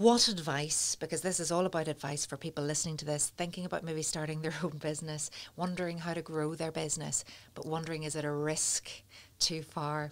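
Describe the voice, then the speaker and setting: A woman with a Northern Irish accent, very deep and low in pitch, fairly even intonation, fairly quick pace. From Northern Ireland, north coast. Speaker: podcast host. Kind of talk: interview. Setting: studio.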